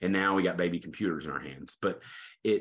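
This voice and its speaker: A man with a Texan accent at a very fast pace against a quiet background. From Texas, Tyler. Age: 40s. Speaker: associate pastor. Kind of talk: casual interview. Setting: video call.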